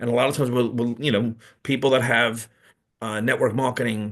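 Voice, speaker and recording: A man with a New York accent talks very fast at a medium pitch. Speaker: network marketing presenter. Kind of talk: business presentation on livestream. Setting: live video call streamed to YouTube. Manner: halting, many repeats and fillers.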